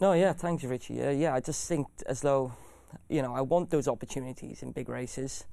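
Speaking at a fairly quick pace, a man uses a dark, mellow tone, his pitch fairly high with ordinary variation. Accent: South Wales. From South Wales valleys (Bargoed). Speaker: jockey. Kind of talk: interview. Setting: studio. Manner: hesitant, many fillers.

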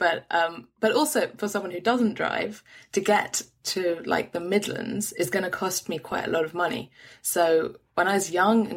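Moderate pace and ordinary pitch variation, in a London accent. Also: woman. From London, England. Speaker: podcaster and writer. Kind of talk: casual interview.

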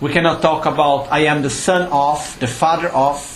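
A man talks at moderate speed, with noticeable background noise around him. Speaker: Buddhist teacher. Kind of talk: dharma teaching talk. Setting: live retreat with audience. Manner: explanatory, didactic.

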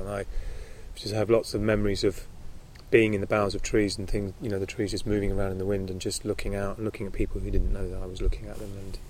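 Speaking very fast in a southern English accent, a man is heard with audible room echo. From London, England. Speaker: author and charity founder. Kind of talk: interview. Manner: halting.

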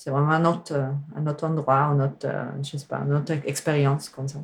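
The woman's very deep, low voice carries a fairly even intonation. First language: not French (speaking French). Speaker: musician and sound artist. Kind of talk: casual chat. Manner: halting.

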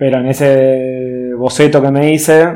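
A man speaks at medium pitch in a dark, mellow tone with fairly even intonation. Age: 30s. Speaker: woodworker and artist. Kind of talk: casual interview.

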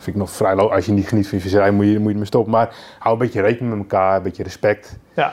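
A man with a fairly low voice talks at a very fast pace in a monotone, flat intonation. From Netherlands, Lelystad (Flevoland). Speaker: carp angler and angling writer. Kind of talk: podcast interview. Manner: halting, repeats words.

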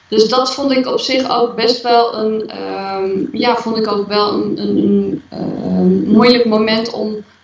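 Against noticeable background noise, a woman speaks at a very slow pace with hardly any pauses. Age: 40s. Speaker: interviewee sharing personal story. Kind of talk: podcast interview. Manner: halting.

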